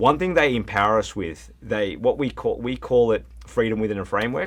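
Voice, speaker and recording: Moderately paced, a man talks with an Australian accent. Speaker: plumbing supply regional manager. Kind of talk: podcast interview.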